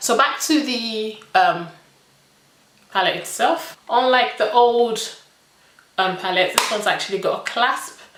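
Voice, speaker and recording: Amid noticeable background noise, a woman speaks at a fairly slow pace. Her pitch varies in an ordinary way, and room echo is audible. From Nigerian British. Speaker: beauty vlogger. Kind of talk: makeup review tutorial. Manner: animated.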